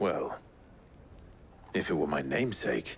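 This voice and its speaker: Putting on a raspy character voice pitched very deep and low, a man speaks at a moderate pace over clear background noise. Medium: video game. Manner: calm, low.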